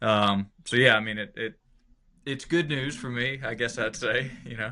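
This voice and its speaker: A man speaks with a medium pitch at a moderate pace. His intonation is fairly even. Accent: Southern US. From Georgia, US South. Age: 30s. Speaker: country musician. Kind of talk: casual interview chat.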